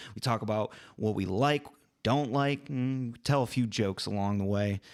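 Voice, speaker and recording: The recording is very clean, with a silent background. A man talks at a moderate pace with lively intonation. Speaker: podcast host. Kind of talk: casual chat. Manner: energetic; talkative.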